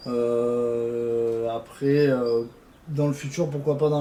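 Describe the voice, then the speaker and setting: The delivery is monotone, with flat intonation. Noticeable background noise and audible room echo run through the clip. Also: man. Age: 20s. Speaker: suspension mechanic. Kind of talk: casual interview. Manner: hesitant, many fillers.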